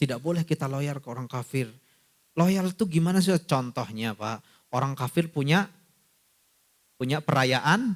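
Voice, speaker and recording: A man with a non-native accent talks at a fairly slow pace and a fairly high pitch. His intonation is lively, and his loudness swings widely. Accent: non-Sundanese accent when speaking Sundanese. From not from Sunda region. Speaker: Islamic preacher. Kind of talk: religious lecture. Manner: conversational, addresses audience directly.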